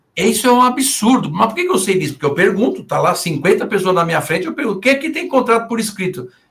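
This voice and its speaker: The man's delivery moves fairly quickly. His pitch rises and falls over a very wide range. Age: 60s. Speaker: veterinarian and business consultant. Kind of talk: podcast interview. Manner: animated.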